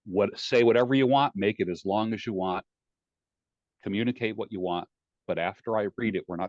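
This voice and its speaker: A man speaks at a fairly quick pace in a normal speaking voice, his pitch fairly low with ordinary variation. The background is quiet, and the sound is dry and close with no echo. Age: 60s. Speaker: life coach. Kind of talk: interview. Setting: podcast. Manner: direct.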